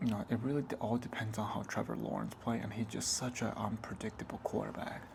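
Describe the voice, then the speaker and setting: Soft-spoken and flat, a man talks in a monotone at a medium pitch. His pace is fairly quick, with hardly any pauses. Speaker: ASMR creator. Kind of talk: ASMR soft-spoken sports talk.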